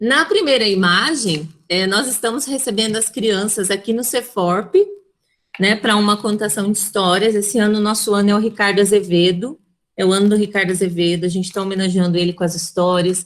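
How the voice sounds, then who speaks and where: A woman at medium pitch and a fairly quick pace, with ordinary pitch variation. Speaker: storyteller and educator. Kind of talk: webinar talk. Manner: intense.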